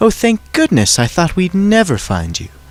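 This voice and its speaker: A man's high-pitched, put-on character voice at a moderate pace. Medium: read story. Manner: posh, affected.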